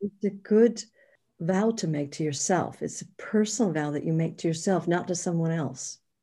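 On a very clean recording with a silent background, a woman with a fairly low pitch and a dark, mellow, somewhat breathy tone speaks at a moderate pace with ordinary pitch variation. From New York. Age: 60s. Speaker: author and spiritual teacher. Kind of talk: interview.

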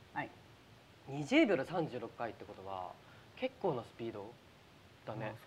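The speaker moves at a moderate pace with lively intonation, big swings in loudness, and long, frequent pauses. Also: man, medium pitch for a man. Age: 20s. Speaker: actor and show host. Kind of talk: casual chat on live stream. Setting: live stream from studio. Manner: animated.

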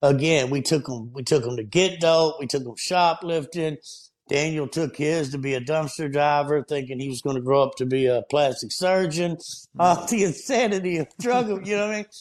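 With a Southern US accent, a man talks at a moderate pace in a fairly high voice with lively intonation. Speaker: podcast guest, nonprofit founder. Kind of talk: casual, religious. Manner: fervent, preacher-like.

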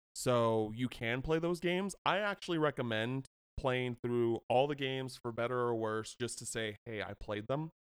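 A man with an American accent and a normal speaking voice, medium pitch, ordinary pitch variation, moderate pace, hardly any pauses, dry close sound with no echo. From US, British household. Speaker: video game writer. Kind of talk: casual chat.

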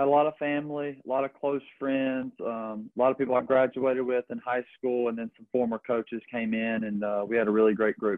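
The speech moves at a fairly quick pace with hardly any pauses and fairly even intonation. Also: man, medium pitch for a man. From US South, Georgia. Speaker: baseball pitcher, draft pick. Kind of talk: casual interview.

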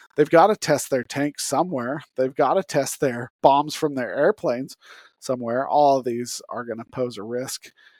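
With an American accent and an ordinary speaking voice, a man talks at a moderate pace and medium pitch with ordinary pitch variation, in a dry, close sound with no echo. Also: very clean recording, silent background. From Utah. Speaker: podcast host. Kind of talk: solo podcast monologue. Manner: casual.

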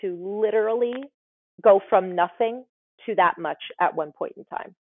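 A woman with an ordinary speaking voice, fairly even intonation and a moderate pace. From US tri-state area. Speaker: nurse anesthetist and author. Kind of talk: casual interview chat.

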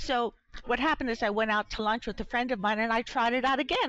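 An ordinary speaking voice belongs to this woman, pitched fairly high. She talks at a fairly quick pace. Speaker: graphic novelist. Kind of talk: interview.

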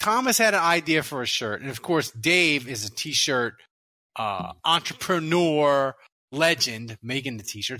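A man speaks very slowly in a bright, sharp tone. His pitch swings very widely. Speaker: sports podcast host. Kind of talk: casual chat; sales pitch. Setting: studio. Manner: loud.

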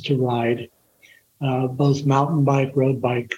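Somewhat breathy, a man speaks at a fairly slow pace with monotone, flat intonation. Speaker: retired firefighter. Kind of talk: casual chat.

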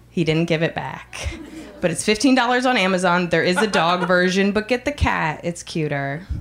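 Against noticeable background noise, a woman of medium pitch speaks with lively intonation. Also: moderate pace. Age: 30s. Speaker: comedian. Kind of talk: stand-up. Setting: stage with audience. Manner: loud.

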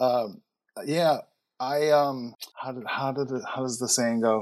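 Recorded very cleanly with a silent background, a man with a Chicago accent speaks at a moderate pace with ordinary pitch variation. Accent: Chicago American English. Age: 40s. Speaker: entrepreneur. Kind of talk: interview conversation. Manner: halting.

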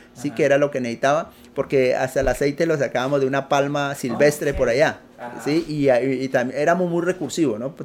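Noticeable background noise surrounds a man who talks at a very fast pace with fairly even intonation. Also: fairly high pitch for a man. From Colombia, Putumayo. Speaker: entrepreneur. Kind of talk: interview. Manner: halting.

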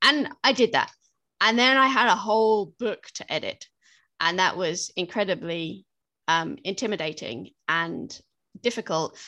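With a British accent, a woman talks at medium pitch with lively intonation. The background is quiet. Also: fairly slow pace. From Britain. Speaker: fiction author. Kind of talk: interview.

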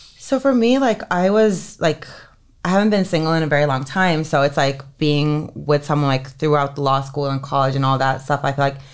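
Over a silent background in a very clean recording, a woman talks at a moderate pace in a very deep, low pitch with ordinary pitch variation. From Finland (Helsinki). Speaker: entertainment lawyer. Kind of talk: casual interview.

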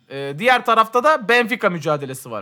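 The voice is raised and projected, with lively intonation and a fairly slow pace. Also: man. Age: 30s. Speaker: podcast co-host. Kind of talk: casual chat.

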